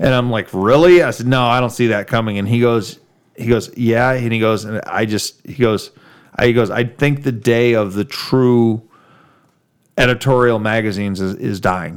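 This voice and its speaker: At a moderate pace, a man with an American accent and an unremarkable speaking voice speaks in a medium pitch with fairly even intonation. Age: 40s. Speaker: car podcast host. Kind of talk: casual chat.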